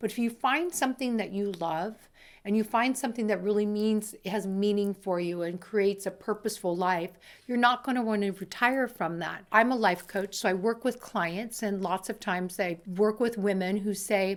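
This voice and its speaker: A woman speaks in a plain, everyday voice at a medium pitch with ordinary pitch variation. Her pace is moderate, and the recording is very clean with a silent background. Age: 60s. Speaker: life coach. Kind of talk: motivational talk.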